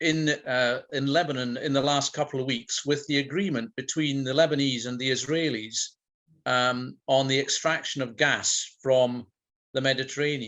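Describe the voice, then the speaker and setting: This man speaks with a Scottish Highland accent. His pitch is medium and his intonation fairly even. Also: moderate pace. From Scotland, Inverness (Highlands). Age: 60s. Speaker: school principal. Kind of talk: talk to a video-call audience, then Q&A; Q&A answer. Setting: video call. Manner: rhetorical, measured; hesitant.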